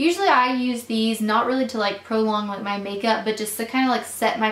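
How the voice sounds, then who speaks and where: The intonation is fairly even, with noticeable background noise and audible room echo. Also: woman. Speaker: beauty vlogger. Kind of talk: product haul review. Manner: fast; casual, filler-heavy.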